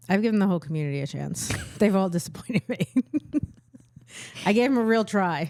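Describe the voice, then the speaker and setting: Talking at a very fast pace yet with long, frequent pauses, a woman with a slight New York accent uses a medium pitch and lively intonation. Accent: little New York. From Bronx, New York. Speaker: stand-up comedian. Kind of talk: casual podcast conversation.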